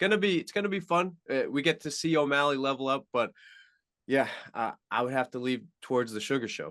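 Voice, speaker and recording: Against a quiet background, a man talks at a fairly quick pace with fairly high pitch, ordinary pitch variation and big swings in loudness. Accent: Long Island. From Long Island, New York. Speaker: MMA journalist. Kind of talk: podcast interview. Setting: radio show.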